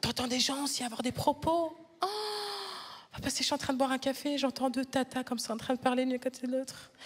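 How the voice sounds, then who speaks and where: Over noticeable background noise, a woman speaks very fast in an animated tone, her high pitch showing ordinary variation. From Flanders, Belgium. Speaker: stand-up comedian. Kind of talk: stand-up. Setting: stage with audience.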